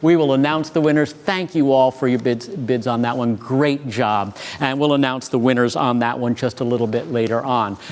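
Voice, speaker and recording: With hardly any pauses, the speech has very even loudness and ordinary pitch variation over noticeable background noise. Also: man, medium pitch for a man. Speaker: auction host. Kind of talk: live auction commentary. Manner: fast; animated.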